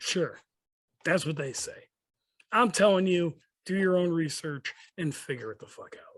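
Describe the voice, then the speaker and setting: A man with an American accent and a high pitch, at a moderate pace with ordinary pitch variation, big swings in loudness and long, frequent pauses. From Chicago, Rogers Park. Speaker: motorcycle club president. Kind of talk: casual podcast chat. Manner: animated.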